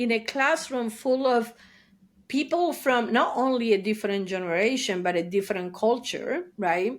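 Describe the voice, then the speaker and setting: Here a woman talks at a moderate pace. Her pitch is fairly high and her intonation lively. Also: very even loudness, very clean recording, silent background. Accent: Argentine. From Argentina, Buenos Aires. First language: Spanish. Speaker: therapist. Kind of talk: interview. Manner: animated.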